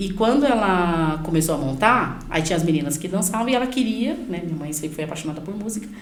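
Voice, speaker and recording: A woman's fairly low voice at a very fast pace with hardly any pauses and lively intonation, with audible room echo and noticeable background noise. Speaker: pastor and youth leader. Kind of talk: podcast interview, life testimony.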